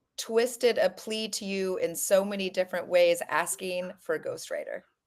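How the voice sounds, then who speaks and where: A woman with an American accent and an unremarkable speaking voice at medium pitch, a fairly slow pace and fairly even intonation, on a very clean recording with a silent background. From US, Colorado. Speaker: author. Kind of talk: casual interview.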